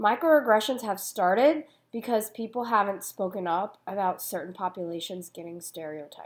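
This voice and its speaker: A woman with a plain, everyday voice speaks at medium pitch and a moderate pace, her intonation lively, her loudness swinging widely and hardly any pauses between words. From United States. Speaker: youth ministry speaker. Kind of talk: prepared talk.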